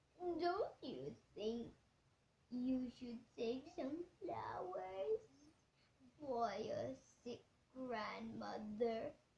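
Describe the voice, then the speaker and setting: Putting on a character voice, a woman speaks at a high pitch and a very slow pace, with long, frequent pauses. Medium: read story. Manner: polite, sly.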